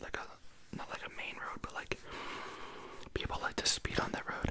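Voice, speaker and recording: With noticeable background noise behind her, a woman whispers in a relaxed tone at a moderate pace. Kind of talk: ASMR whisper ramble, casual talk to camera. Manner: whispered; relaxed, rambling.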